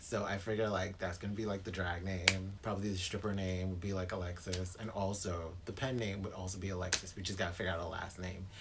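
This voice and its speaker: Very fast speech in an American accent comes with monotone, flat intonation. Noticeable background noise and audible room echo fill the recording. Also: man, very deep, low pitch for a man. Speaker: booktuber. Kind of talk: casual vlog monologue. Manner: clipped.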